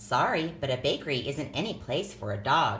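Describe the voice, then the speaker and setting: A put-on character voice at a low-to-middle pitch and a moderate pace, over clear background noise. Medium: read story.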